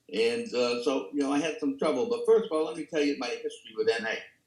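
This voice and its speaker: With a New York accent, a man talks at a very fast pace in a fairly high pitch, his voice making very wide pitch swings. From New York City, the Bronx. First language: Italian. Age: 80s+. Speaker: recovery speaker. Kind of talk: testimony. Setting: video call.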